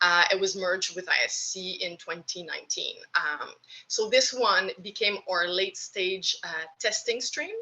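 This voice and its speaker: A woman speaks with a French Canadian accent. Her pace is fairly slow. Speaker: government program officer. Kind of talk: presentation.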